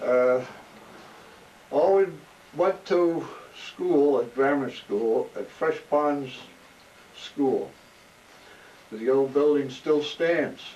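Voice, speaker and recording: A man with a New Jersey accent and a fairly high pitch speaks at a very slow pace, with ordinary pitch variation and long, frequent pauses. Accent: New Jersey American. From New Jersey, South Brunswick. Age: 80s+. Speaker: oral history interviewee, retired corrections officer. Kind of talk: oral history interview. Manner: halting, with fillers and restarts.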